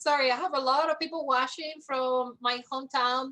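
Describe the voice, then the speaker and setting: A woman's high-pitched, bright, sharp voice, raised and projected, in a monotone, flat intonation. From Cuba. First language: Spanish. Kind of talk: interview. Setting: livestream.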